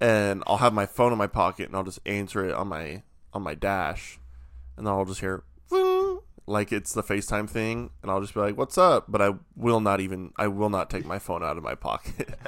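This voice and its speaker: A man's plain, everyday voice, fairly low-pitched, at a moderate pace, on a very clean recording with a silent background. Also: ordinary pitch variation. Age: 20s. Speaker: podcast co-host. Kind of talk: casual chat.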